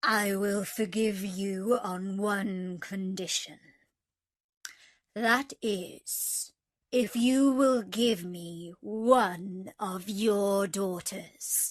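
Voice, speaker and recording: At a very slow pace, a woman uses a put-on character voice at a medium pitch. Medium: read story. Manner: terrible, furious voice.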